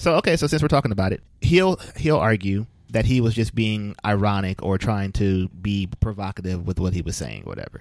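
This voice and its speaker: In a very clean recording with a silent background, a man with a fairly low voice talks fairly quickly and animatedly, with lively intonation and hardly any pauses. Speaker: podcast co-host. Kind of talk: casual chat. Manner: jokey, animated.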